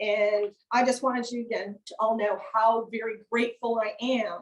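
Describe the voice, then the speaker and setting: A woman with an American accent speaks in an ordinary speaking voice, fairly high in pitch and at a fairly slow pace. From rural upstate New York. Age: 60s. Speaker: author. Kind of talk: author talk. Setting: event with live and Zoom audience.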